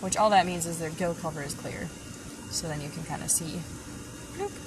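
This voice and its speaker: A woman speaks over noticeable background noise. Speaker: fish store staff hosting live stream. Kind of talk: live stream store tour. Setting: aquarium store, live stream. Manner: animated.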